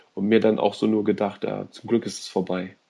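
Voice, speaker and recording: The voice has a dark, mellow tone, a fairly quick pace and fairly even intonation. The recording is very clean with a silent background. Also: man. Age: 30s. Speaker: podcast guest, film reviewer. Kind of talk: casual chat.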